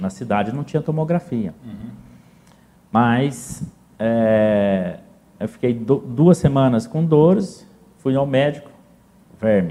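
Through long, frequent pauses, a man speaks in a dark, mellow tone at a very slow pace. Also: medium pitch for a man. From southern Minas Gerais, Brazil (São Sebastião do Paraíso). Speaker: businessman. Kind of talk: interview, life story. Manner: halting, repeats words.

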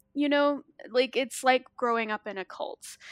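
A woman with an American accent and an unremarkable speaking voice speaks at a fairly slow pace with ordinary pitch variation, the sound dry and close with no echo. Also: very clean recording, silent background. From US South, Arkansas. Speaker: horror writer and anthology editor. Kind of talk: casual chat.

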